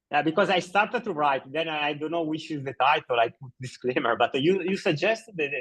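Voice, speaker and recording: In a dry, close recording with no echo and a quiet background, a man with an Italian accent talks at a fairly quick pace and fairly high pitch, with ordinary pitch variation and hardly any pauses. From Italy. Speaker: blog post author. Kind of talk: casual meeting chat. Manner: halting.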